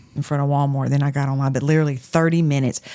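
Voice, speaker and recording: A woman talking at a very fast clip. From southwest Louisiana. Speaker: podcast co-host. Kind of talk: casual chat.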